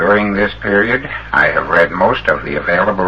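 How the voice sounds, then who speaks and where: Over noticeable background noise, a man with a Canadian accent speaks at a moderate pace in a fairly low pitch. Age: 40s. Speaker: electrical engineer. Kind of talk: public lecture address.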